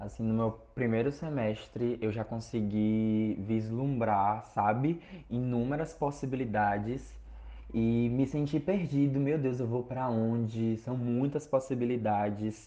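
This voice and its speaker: Someone with an ordinary speaking voice talks at a fairly slow pace with fairly even intonation. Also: man, medium pitch for a man. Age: 20s. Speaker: university student. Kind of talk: podcast interview.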